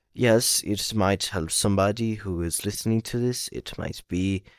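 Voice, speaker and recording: Speaking at a fairly slow pace, a man with a slight Brazilian accent has a fairly low pitch and ordinary pitch variation. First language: Portuguese. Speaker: vlogger. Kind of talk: casual vlog monologue. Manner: halting.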